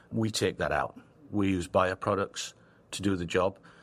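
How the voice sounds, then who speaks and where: A man with an American accent speaks at a very deep, low pitch. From northern England. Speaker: textile company founder. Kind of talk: podcast interview.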